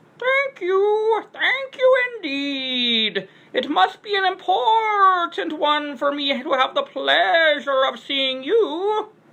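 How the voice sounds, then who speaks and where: Putting on a squeaky character voice, a woman speaks at an extremely high pitch and a very slow pace, with very wide pitch swings and hardly any pauses. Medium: read story. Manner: drags out syllables, paternal and courteous.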